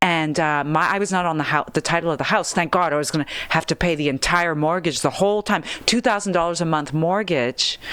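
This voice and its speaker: A woman with a fairly low voice talks at a fairly quick pace, her pitch varying in an ordinary way. Her loudness stays very even over noticeable background noise. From Belgium. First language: not English (English is third language). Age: 40s. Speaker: comedian. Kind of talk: casual chat.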